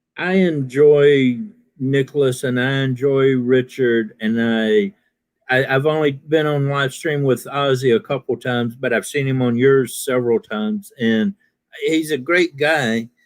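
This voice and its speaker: Using an unremarkable speaking voice, a man with an American accent talks at a fairly slow pace, at a medium pitch with ordinary pitch variation. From US South, Alabama. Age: 50s. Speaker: military veteran and live stream panelist. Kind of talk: casual chat. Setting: live stream.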